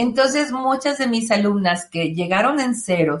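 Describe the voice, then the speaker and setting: Here a woman speaks with a Mexican accent at a fairly high pitch. Her pitch swings very widely at a moderate pace. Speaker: tarot reader and self-help author. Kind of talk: interview.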